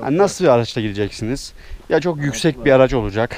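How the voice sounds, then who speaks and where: Here a man talks fairly quickly, his pitch shifting in an ordinary way. No echo colors the sound, which stays dry. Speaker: travel vlogger. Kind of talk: casual vlog chat. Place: forest. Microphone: phone near.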